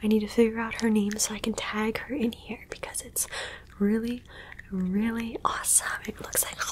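Moderate-paced speech from a woman, with light background noise behind her. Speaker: ASMR creator. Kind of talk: soft ASMR roleplay talk. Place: home room. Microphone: studio mic.

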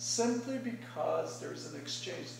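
A man talks at a fairly slow pace. The room echoes audibly, and there is light background noise. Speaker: speaker. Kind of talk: prepared speech. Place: meeting room. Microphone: camera far.

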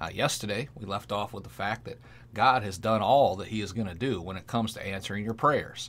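A man's fairly low voice at a fairly quick pace, with ordinary pitch variation and big swings in loudness. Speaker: pastor. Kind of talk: sermon and prayer, devotional preaching. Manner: fervent, animated, preacherly with call-and-response 'Amen'. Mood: earnest, calm, preaching.

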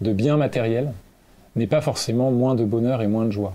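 A man's dark, mellow voice at a fairly quick pace. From France (Normandy and La Rochelle). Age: 20s. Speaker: climate activist and author. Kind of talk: interview. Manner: hesitant, with frequent fillers.

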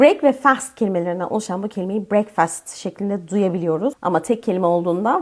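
At a fairly quick pace, an unremarkable speaking voice comes through with ordinary pitch variation. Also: woman. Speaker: English teacher. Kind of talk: tutorial.

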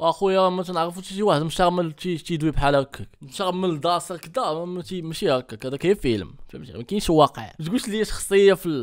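The delivery is animated, fairly quick and has hardly any pauses. Pitch varies in an ordinary way over a quiet background. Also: man, high pitch for a man. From Morocco. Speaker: YouTuber reacting to videos. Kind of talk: reaction video commentary. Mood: mocking, animated. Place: home room. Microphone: studio mic.

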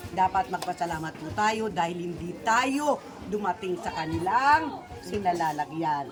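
Against crowd noise in the background, a woman with a fairly low pitch speaks at a fairly slow pace, with very wide pitch swings and big swings in loudness. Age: 60s. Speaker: charity vlogger. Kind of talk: vlog charity visit.

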